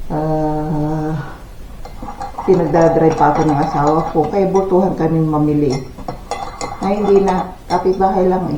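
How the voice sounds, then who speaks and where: Someone speaks at a fairly slow pace with long, frequent pauses over noticeable background noise. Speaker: vlogger. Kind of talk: casual vlog talk. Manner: halting, with fillers; soft-spoken.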